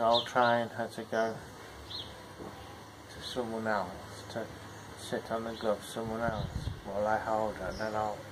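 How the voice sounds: A man's fairly low, monotone voice at a fairly slow pace, with flat intonation and clear background noise.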